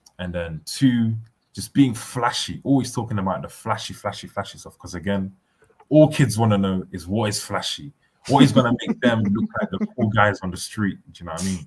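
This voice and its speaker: A man with a fairly low, somewhat breathy voice talks at a fairly quick pace with big swings in loudness. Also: ordinary pitch variation. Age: 20s. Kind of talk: casual chat.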